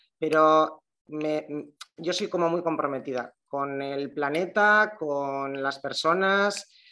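Very deep and low in pitch, a woman's voice has a bright, sharp tone and ordinary pitch variation. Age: 40s. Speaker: shop owner. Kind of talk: casual interview chat.

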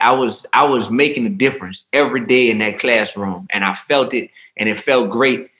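A man speaks at a medium pitch with an American accent. His tone is animated, bright and sharp. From New Orleans, Louisiana. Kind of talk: casual chat.

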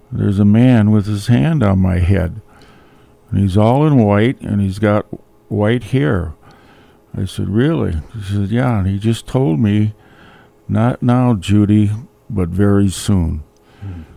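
With an Upper Midwest accent, a man talks at a fairly low pitch and a fairly slow pace, his dark, mellow tone broken by long, frequent pauses and showing ordinary pitch variation. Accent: Upper Midwest (Minnesota). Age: 70s. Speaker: widower sharing faith story. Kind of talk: testimony. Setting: studio.

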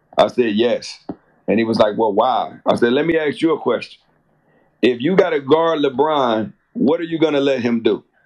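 With an American accent, the speaker has lively intonation and an unremarkable speaking voice. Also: man, fairly high pitch for a man, moderate pace. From Chicago. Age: 40s. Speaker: actor. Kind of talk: casual chat.

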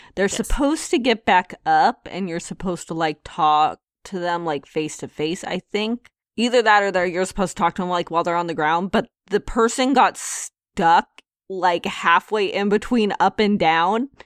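A woman's plain, everyday voice at a medium pitch and moderate pace, with ordinary pitch variation and a dry, close sound without echo. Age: 30s. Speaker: video game podcast co-host. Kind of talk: casual chat.

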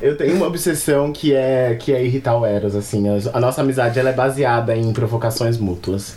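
A man's voice at very even loudness with ordinary pitch variation, over noticeable background noise. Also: medium pitch for a man, fairly quick pace. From São Paulo, Brazil. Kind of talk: casual chat.

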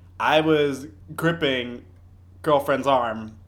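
A man talks at a medium pitch with ordinary pitch variation. The room echo is audible. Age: 20s. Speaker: podcast co-host. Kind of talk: casual chat.

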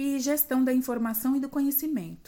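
A woman talks at a high pitch, captured on a very clean recording with a silent background. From Brazil, São Paulo city (east zone periphery). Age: 50s. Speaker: librarian. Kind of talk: prepared monologue.

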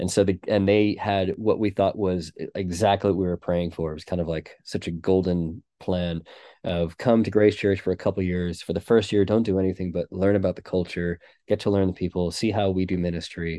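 With an American accent, a man talks at a fairly quick pace in a very deep, low voice with a dark, mellow tone and monotone, flat intonation, the sound dry and close with no echo over a quiet background. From United States. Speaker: pastor. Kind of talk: interview conversation about church.

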